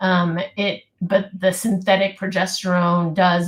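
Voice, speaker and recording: A woman's somewhat breathy voice at medium pitch, with an American accent. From US West Coast, California Bay Area. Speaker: physician. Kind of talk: live webinar Q&A answers.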